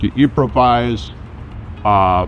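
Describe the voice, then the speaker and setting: The man's voice sits at a medium pitch, and noticeable background noise runs under it. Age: 70s. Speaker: lawyer. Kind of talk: interview testimonial. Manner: casual with hesitations.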